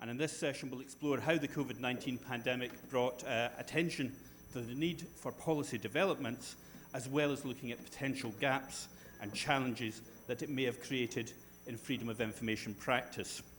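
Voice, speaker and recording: A man with a Scottish accent, fairly quick pace and fairly even intonation, plus audible room echo. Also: medium pitch for a man. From Scotland. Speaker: panel moderator. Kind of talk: conference panel moderation.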